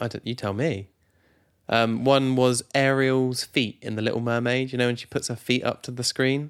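A man with a British accent speaks in a playful tone with monotone, flat intonation on a very clean recording with a silent background. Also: medium pitch for a man, moderate pace. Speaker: podcast co-host. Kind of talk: casual banter between spouses. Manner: joking, playful.

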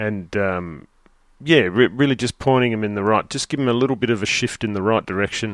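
Recorded with a dry, close sound and no echo, a man with an Australian accent speaks fairly quickly at a fairly low pitch with ordinary pitch variation. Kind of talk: casual chat.

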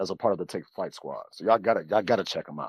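Heard dry and close with no echo, a man with an American accent speaks with ordinary pitch variation. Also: very clean recording, silent background. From US Midwest, Chicago. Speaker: podcaster. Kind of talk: casual chat. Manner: animated, repeats words.

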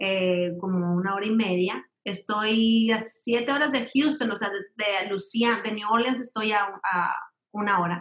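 A plain, everyday voice talks at a fairly slow pace with ordinary pitch variation. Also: woman, fairly high pitch for a woman. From Mexico, raised in Mexico City and Monterrey. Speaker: ballet dancer and company director. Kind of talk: interview.

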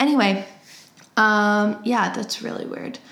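A woman speaks at a medium pitch with an American accent. Room echo is audible. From US Midwest (Cleveland, Ohio). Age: 20s. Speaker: podcast host. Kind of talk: casual monologue. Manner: casual, many fillers.

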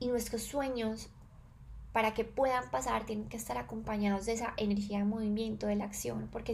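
The recording picks up noticeable echo from the room. It is a woman's voice. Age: 20s. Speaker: podcast host, wellness and self-knowledge. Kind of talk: reflective solo monologue.

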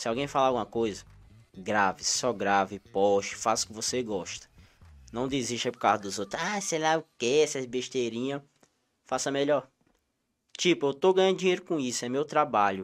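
In a Cearense accent, a man of medium pitch speaks with lively intonation at a moderate pace, leaving long, frequent pauses. The recording is very clean, with a silent background. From Ceará, Brazilian Northeast. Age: 20s. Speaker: content creator. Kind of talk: casual interview chat. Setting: studio, live stream.

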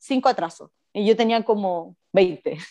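A woman speaks at a fairly high pitch with ordinary variation. Her tone is dark and mellow. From Chile, Puerto Montt. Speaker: podcast co-host. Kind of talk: casual chat.

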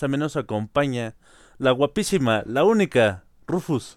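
A man with a Mexican accent speaks at a fairly high pitch. His voice makes very wide pitch swings. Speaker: podcast host. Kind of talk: casual chat. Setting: live online broadcast.

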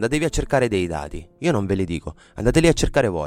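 Very fast and full of lively intonation, a man speaks at a fairly low pitch. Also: very clean recording, silent background. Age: 30s. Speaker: podcast host. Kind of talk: solo podcast monologue. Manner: halting, many fillers.

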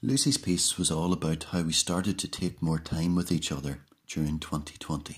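On a very clean recording with a silent background, the speaker uses an Irish accent at a moderate pace. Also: man. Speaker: presenter introducing student readings. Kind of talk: reading aloud scripted introductions and student poems.

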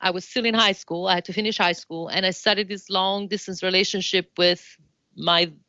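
A woman speaks in an Italian accent at medium pitch and a moderate pace, against a quiet background. Her tone is bright and sharp, her intonation monotone and flat. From Italy, Florence. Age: 40s. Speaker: dance professor and choreographer. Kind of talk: interview.

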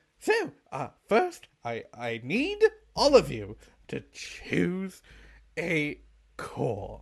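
A put-on character voice speaks at a very slow pace. Long, frequent pauses break up the speech. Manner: excited, bubbly.

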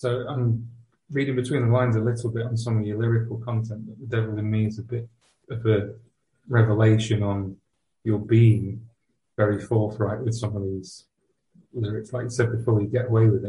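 A man's somewhat breathy, medium-pitched voice in a monotone, flat intonation, at a fairly quick pace with long, frequent pauses. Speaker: podcast host. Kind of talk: interview.

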